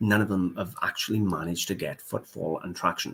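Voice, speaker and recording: A man speaks in a normal speaking voice at a fairly quick pace and a fairly low pitch. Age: 40s. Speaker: antiques reseller. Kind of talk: casual live stream talk.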